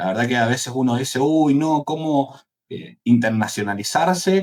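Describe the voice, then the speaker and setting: With a Cuyo Argentine accent, a man speaks at a moderate pace and medium pitch, using ordinary pitch variation. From Argentina, Mendoza. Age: 30s. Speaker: entrepreneur, AI agency founder. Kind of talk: interview.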